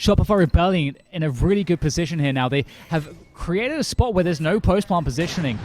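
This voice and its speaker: A man's high-pitched, energetic voice at a very fast pace. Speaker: esports caster. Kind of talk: live commentary. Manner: fast, energetic play-by-play.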